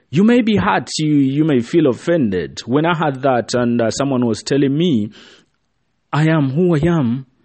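A man talks in an ordinary speaking voice at a fairly high pitch and a moderate pace. His intonation is lively and his loudness very even. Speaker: motivational speaker. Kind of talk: pep talk. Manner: earnest, direct, urging the listener; warm, encouraging, repeatedly addressing 'you'.

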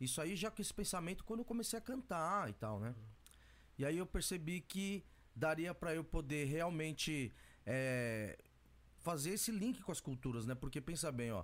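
Very wide pitch swings run through speech delivered at a moderate speed. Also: man, fairly high pitch for a man. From Brazil, São Paulo east zone. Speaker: music producer and rapper. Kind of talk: casual interview.

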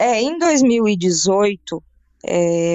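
A woman talks with lively intonation at a medium pitch. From Brazil, raised in Brasília, Rio Grande do Sul and Paraíba. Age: 40s. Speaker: journalist and radio announcer. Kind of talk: casual interview chat.

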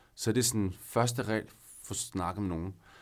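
In a very clean recording with a silent background, a man talks in a fairly low pitch with ordinary pitch variation. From northern Zealand, Denmark. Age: 30s. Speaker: guest sharing personal story. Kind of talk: personal testimony. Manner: hesitant, many fillers.

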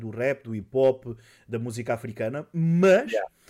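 Here a man has an unremarkable speaking voice at a medium pitch. His pitch variation is ordinary, on a very clean recording with a silent background. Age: 30s. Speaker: podcast host and streamer. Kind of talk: casual chat.

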